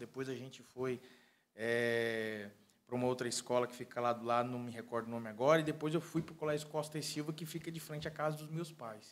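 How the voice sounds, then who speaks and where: Ordinary variation in pitch runs through speech delivered fairly quickly. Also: man. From Porto Nacional, Tocantins, Brazil; Tocantins, Brazil. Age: 30s. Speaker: civil engineer and pastor; pastor. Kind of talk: casual interview. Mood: calm, warm, proud. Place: studio. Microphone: studio mic.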